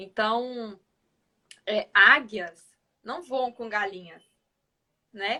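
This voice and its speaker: A woman's bright, sharp tone at fairly high pitch and very slow pace, with ordinary pitch variation and a northeastern Brazilian accent. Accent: northeastern Brazilian, noticeable. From Northeast Brazil, Piauí. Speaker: financial organization expert. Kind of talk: live-stream interview chat.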